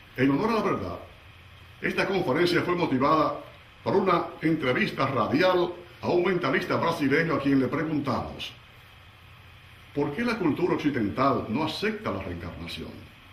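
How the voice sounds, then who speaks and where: A man's fairly high, lively voice at a moderate pace, broken by long, frequent pauses, over noticeable background noise. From Dominican Republic. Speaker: radio announcer. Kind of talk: lecture.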